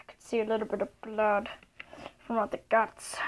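Her pace moderate, a woman says her lines. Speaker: toy storyteller. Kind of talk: playful toy role-play narration. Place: home room. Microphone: phone near.

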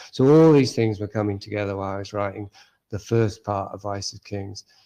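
A man with an English accent and a dark, mellow tone speaks with fairly even intonation against a quiet background. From England. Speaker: author. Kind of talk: interview. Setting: video call.

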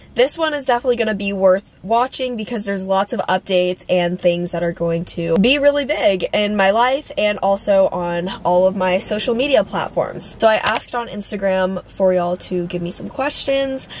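Moving at a moderate pace with hardly any pauses, the voice shows ordinary pitch variation, and the dry sound has no echo under light background noise. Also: woman. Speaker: content creator. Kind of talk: casual vlog chat. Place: car.

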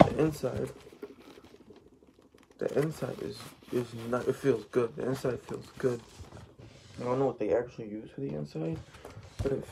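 Noticeable background noise sits behind this man as he speaks at a fairly slow pace. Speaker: vlogger. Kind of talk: casual vlog chat, product show-and-tell. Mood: excited, pleased. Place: home room. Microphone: phone near.

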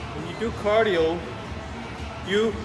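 A man speaks at a fairly slow pace. Music plays in the background. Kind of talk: casual vlog chat. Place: gym. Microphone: phone near.

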